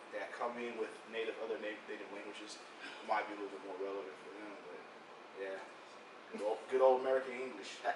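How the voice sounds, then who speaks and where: A medium-pitched man talks at a fairly quick pace. Audible room echo and noticeable background noise surround his voice. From United States, inner city. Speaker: interviewee. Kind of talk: interview.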